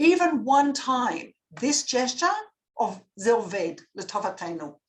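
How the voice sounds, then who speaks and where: With an Australian accent, a woman speaks in an animated tone at a high pitch, her voice swinging very widely. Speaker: public speaking coach. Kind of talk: lecture. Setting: video call.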